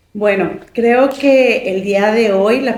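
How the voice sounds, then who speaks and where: The recording carries noticeable background noise and audible room echo. A woman is the one talking. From Mexico, Chihuahua city. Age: 40s. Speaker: judicial candidate, lawyer. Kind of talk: interview.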